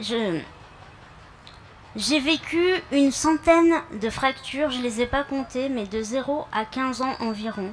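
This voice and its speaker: Speaking at a high pitch with ordinary pitch variation, a woman goes at a very slow pace with long, frequent pauses. Noticeable background noise is present. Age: 30s. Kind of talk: public speech. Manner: halting, with fillers.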